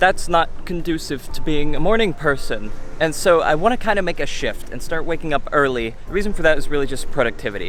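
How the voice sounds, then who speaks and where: A man speaking very fast with lively intonation, amid audible room echo. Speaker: vlogger. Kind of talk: casual vlog monologue. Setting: outdoors at the beach.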